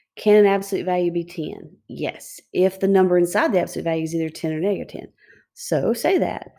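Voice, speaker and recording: This woman's voice sits at a medium pitch with a dark, mellow tone, moving at a fairly quick pace. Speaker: high school math teacher. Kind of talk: video lecture. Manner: fast.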